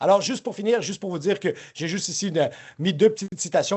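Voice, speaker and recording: A man speaks with a high pitch. He keeps a fairly quick pace and ordinary pitch variation. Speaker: professor. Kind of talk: lecture. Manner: fast; halting.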